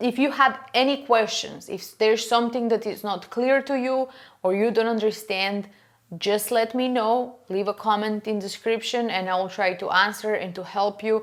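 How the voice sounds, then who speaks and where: Fairly even intonation at a moderate pace comes through on a very clean recording with a silent background. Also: woman, fairly high pitch for a woman. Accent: non-native. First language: not English. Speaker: furniture painting podcaster. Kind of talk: casual tutorial monologue. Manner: halting, many fillers.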